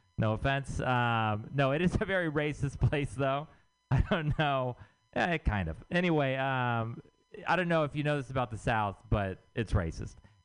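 An ordinary speaking voice: a man with an American accent and medium pitch, at a moderate pace with lively intonation. The background is quiet. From Texas. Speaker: stand-up comedian. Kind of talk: stand-up.

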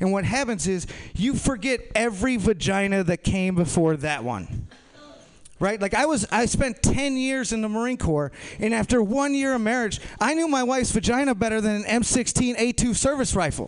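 This man has a high voice and lively intonation, with an American accent. Noticeable noise sits in the background. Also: moderate pace. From Minnesota, US Midwest. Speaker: stand-up comedian. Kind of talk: stand-up. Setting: stage with audience.

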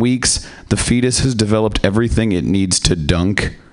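A man's fairly low voice over noticeable background noise. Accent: American. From US Pacific Northwest. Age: young. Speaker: comedian. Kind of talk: stand-up. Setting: stage with audience.

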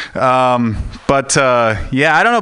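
A man at a medium pitch and a moderate pace, with noticeable background noise. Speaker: stand-up comedian. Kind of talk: stand-up. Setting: stage with audience.

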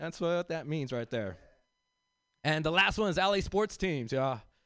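With an American accent and a fairly high pitch, a man talks at a moderate pace in an unremarkable speaking voice, recorded dry and close with no echo against a quiet background. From South Central Los Angeles. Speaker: comedian and teacher. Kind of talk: stand-up.

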